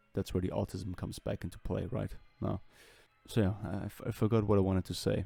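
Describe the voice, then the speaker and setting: Over music in the background, a man with a non-native accent speaks at a very fast pace in a very deep, low pitch, his intonation fairly even. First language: not English. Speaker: artist and welder/machinist making drawing videos. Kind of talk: voiceover commentary over drawing process. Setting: recorded voiceover. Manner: rambling, hesitant with fillers.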